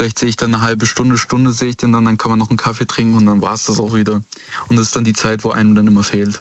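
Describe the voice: Fairly low in pitch, a man talks at a fast pace with a monotone, flat intonation.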